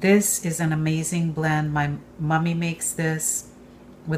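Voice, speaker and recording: The voice is somewhat breathy with fairly even intonation, over light background noise. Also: woman. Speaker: home cook host. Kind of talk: tutorial. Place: kitchen.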